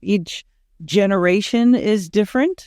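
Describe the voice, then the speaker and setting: A woman with an American accent speaks at a medium pitch in a dark, mellow tone with ordinary pitch variation. The sound is dry and close with no echo, over a quiet background. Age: 60s. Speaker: sexologist. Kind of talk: podcast interview.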